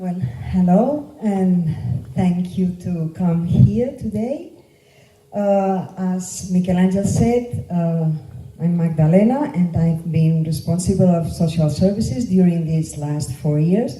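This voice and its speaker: Amid noticeable background noise and audible room echo, a woman with a Catalan Spanish accent speaks at a very slow pace and a fairly low pitch with lively intonation. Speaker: local politician. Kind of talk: political campaign speech. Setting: meeting room with audience. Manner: halting, with fillers.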